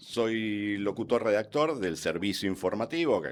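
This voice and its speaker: The recording is very clean, with a silent background. A man speaks in it with lively intonation. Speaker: radio newsreader and announcer. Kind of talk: interview.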